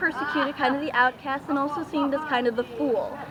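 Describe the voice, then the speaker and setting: The woman speaks at a fairly quick pace with a high pitch. Noticeable background noise runs behind her. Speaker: cosplayer and tarot card reader. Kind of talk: interview at a festival. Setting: outdoors at a renaissance festival. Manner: halting, many fillers and repeats.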